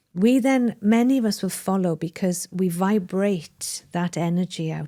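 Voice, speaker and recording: A woman with a Welsh accent speaks at a medium pitch and a fairly slow pace, with a dark, mellow tone and ordinary pitch variation. The recording is very clean and dry, close with no echo, on a silent background. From Wales. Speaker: mind management coach. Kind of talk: interview conversation.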